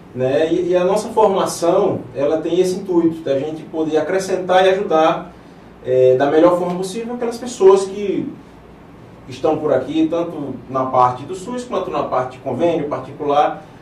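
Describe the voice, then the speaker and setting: Ordinary pitch variation at a moderate pace, with audible room echo and noticeable background noise. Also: man. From Paraíba, northeastern Brazil (João Pessoa). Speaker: vascular surgeon and interventional radiologist. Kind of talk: TV interview. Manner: hesitant, with fillers and repetitions.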